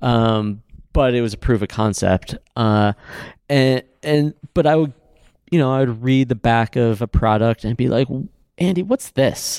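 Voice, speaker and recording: A man with an American accent speaks at a moderate pace with long, frequent pauses, in a dry, close sound with no echo. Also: medium pitch for a man, ordinary pitch variation. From Ohio, Cleveland area. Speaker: climber and skincare business founder. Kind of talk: casual interview chat. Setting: conference room at trade show.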